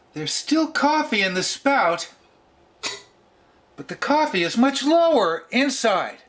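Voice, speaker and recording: A man with an extremely high pitch speaks at a fairly slow pace, leaving long, frequent pauses. His pitch swings very widely, his loudness swings greatly, and noticeable background noise is present. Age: 60s. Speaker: vintage coffee maker reviewer. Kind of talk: casual product demo vlog.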